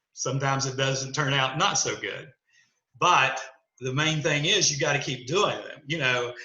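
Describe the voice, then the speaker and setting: Audible room echo surrounds the recording. A man speaks with a fairly high pitch and fairly even intonation. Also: moderate pace. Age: 60s. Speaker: dentist. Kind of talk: podcast interview. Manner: conversational, many fillers.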